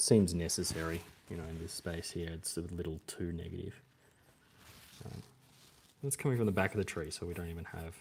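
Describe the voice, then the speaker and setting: Long, frequent pauses interrupt the speech. There is a somewhat breathy quality to the voice. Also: man, very deep, low pitch for a man, ordinary pitch variation. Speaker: bonsai artist and vlogger. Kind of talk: casual live-stream tutorial while drawing. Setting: live stream. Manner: whispering; hesitant, filler-heavy.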